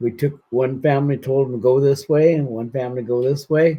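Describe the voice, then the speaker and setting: A man with an American accent uses a normal speaking voice at medium pitch. His intonation is fairly even and his pace moderate. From northern California, Siskiyou County. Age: 60s. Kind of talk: interview testimony. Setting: friend's house.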